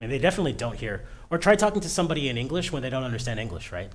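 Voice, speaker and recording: Animated in tone, a man speaks at a medium pitch with vocal fry. Audible room echo hangs around his voice. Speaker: tech streamer. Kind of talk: casual livestream rant. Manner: fast.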